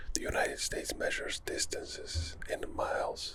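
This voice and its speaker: A man speaks softly at a moderate pace, his tone calm and his pitch extremely high. There is noticeable background noise. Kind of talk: ASMR whisper ramble. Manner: soft-spoken, calm.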